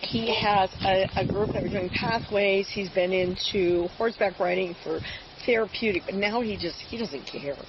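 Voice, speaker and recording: Background noise is noticeable behind this woman. Her intonation stays fairly even. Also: medium pitch for a woman, moderate pace. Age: 70s. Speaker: grandmother calling police, retired nurse. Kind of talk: police encounter conversation. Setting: outdoors by a car, police bodycam.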